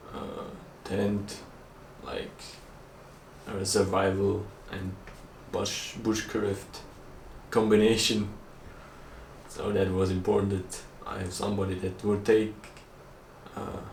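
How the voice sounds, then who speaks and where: The voice is a monotone, flat intonation at a very slow pace, with long, frequent pauses. Audible room echo surrounds it. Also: man, fairly low pitch for a man. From Austria, Vorarlberg. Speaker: vlogger. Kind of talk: casual chat.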